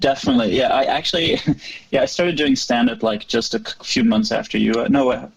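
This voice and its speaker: Noticeable noise sits in the background. Over it, a man talks very fast. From Norway, northwest coast. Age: 30s. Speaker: stand-up comedian. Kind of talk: casual chat. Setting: podcast interview.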